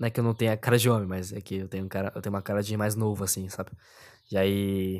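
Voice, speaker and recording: Very fast, monotone, flat delivery on a very clean recording with a silent background. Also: man. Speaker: podcast host. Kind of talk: solo monologue.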